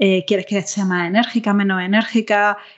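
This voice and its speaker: A woman with an Andalusian accent at a medium pitch, a moderate pace and fairly even intonation. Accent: Andalusian Spanish (Granada). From southern Spain, Granada. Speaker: interaction designer. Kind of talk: podcast interview. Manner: hesitant, many fillers.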